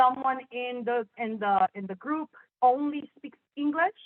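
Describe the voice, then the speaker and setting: Fairly slowly, a woman talks with ordinary pitch variation. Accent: Spanish. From Chicago, Puerto Rican family. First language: Spanish. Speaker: sign language interpreter. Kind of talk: panel discussion.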